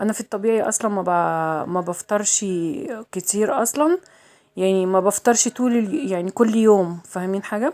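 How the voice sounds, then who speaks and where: This woman speaks with an Egyptian accent. Her pitch sits in the medium range. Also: ordinary pitch variation, moderate pace. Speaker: vlogger. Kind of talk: casual vlog chat. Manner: chatty, repetitive.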